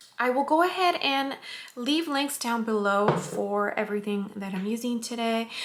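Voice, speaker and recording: A woman's fairly high voice with lively intonation over noticeable background noise. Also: moderate pace. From California, US. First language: Spanish. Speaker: beauty vlogger. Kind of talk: makeup tutorial. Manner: casual, friendly.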